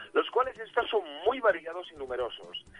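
A man at a very fast pace. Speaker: youtuber, retro video game commentator. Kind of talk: casual chat. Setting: phone call.

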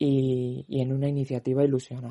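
This man's voice has a dark, mellow tone and sits fairly high in pitch. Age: 20s. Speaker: youth brotherhood member. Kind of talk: interview testimony.

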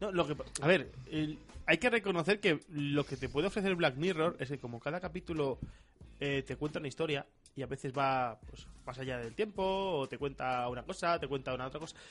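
In an animated tone, a man with a fairly high voice speaks at a fairly quick pace with ordinary pitch variation. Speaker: podcast co-host. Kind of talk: casual chat. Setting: radio studio.

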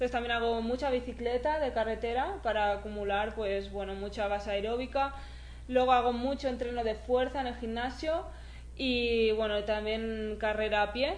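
Heard with audible room echo, a woman with a Catalan accent speaks at a moderate pace, her fairly high voice fairly even in intonation. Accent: Spanish (Catalonia) Spanish. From Spain, near Barcelona. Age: 20s. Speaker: trail runner. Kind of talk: interview.

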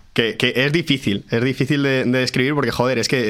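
This man has an unremarkable speaking voice, a medium pitch, fairly even intonation and a moderate pace. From Madrid region (Pozuelo). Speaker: guitarist. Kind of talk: casual chat.

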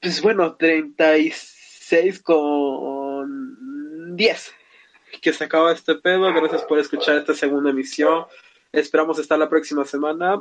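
A man speaks at a fairly slow pace, his pitch fairly high and his intonation moving in an ordinary way. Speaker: podcast host. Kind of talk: casual chat.

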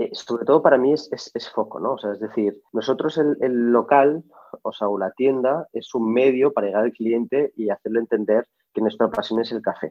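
A man's voice at a moderate pace, medium in pitch, with ordinary pitch variation. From Barcelona, Spain. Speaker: coffee company founder. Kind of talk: interview. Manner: halting, many fillers and repetitions.

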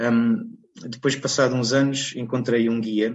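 A man with a medium pitch talks fairly slowly, his intonation fairly even. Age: 30s. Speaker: bird illustrator and environmental consultant. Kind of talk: interview. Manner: halting, with frequent repetitions and fillers.

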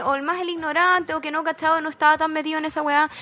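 A woman speaks at a very fast pace in an extremely high pitch. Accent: Chilean. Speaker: podcast co-host. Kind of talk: casual chat.

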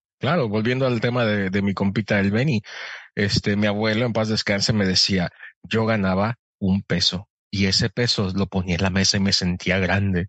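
At a moderate pace, a man talks in an ordinary speaking voice with a fairly low pitch and fairly even intonation. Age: 30s. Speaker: podcast guest and voice-over announcer. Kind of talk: casual chat.

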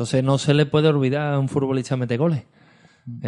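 A man with a medium pitch delivers his words at a fairly quick pace, his intonation fairly even. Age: 40s. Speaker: podcast co-host, football fan. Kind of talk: casual chat.

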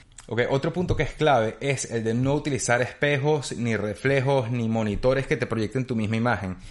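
This man speaks at a medium pitch. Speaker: podcaster and YouTuber. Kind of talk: solo tutorial monologue. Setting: home studio on camera.

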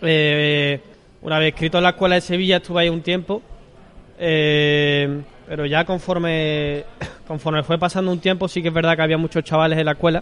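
Over noticeable background noise, a man with a fairly high pitch speaks in a monotone, flat intonation at very even loudness. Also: moderate pace. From Seville, Andalusia. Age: 20s. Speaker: novice bullfighter. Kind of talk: interview. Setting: restaurant.

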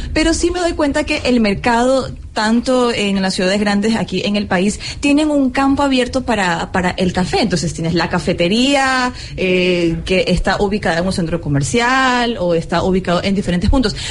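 Over noticeable background noise, a woman at a medium pitch talks at a moderate pace with very wide pitch swings and very even loudness. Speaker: radio host. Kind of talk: live radio interview. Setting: live broadcast at a fair.

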